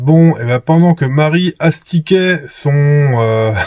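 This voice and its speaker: The sound is dry and close with no echo as a man speaks very slowly, his pitch varying in an ordinary way. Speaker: camper van vlogger. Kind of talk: casual vlog commentary.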